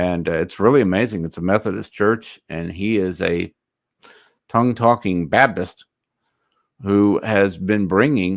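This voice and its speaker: Long, frequent pauses break up a man's fairly slow delivery, which sits at a fairly low pitch and varies ordinarily. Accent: Texan. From north Texas. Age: 60s. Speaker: online commentator. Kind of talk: livestream commentary reading chat. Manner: casual, hesitant with fillers.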